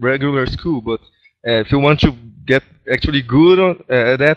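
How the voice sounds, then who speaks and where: Speaking very fast in a Brazilian Portuguese accent, the man sounds dry and close, with no echo. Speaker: gaming clan member. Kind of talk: casual group voice chat. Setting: online voice chat.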